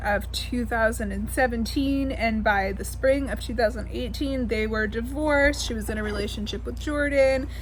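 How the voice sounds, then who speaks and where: A woman talks at a moderate speed in a room with audible echo and noticeable noise in the background. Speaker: beauty commentator. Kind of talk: opinion rant. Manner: halting.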